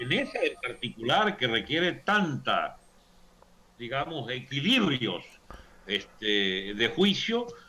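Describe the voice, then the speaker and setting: A man speaks at a very slow pace, with long, frequent pauses. Noticeable background noise runs behind him. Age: 70s. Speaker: political commentator. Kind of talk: political debate / interview.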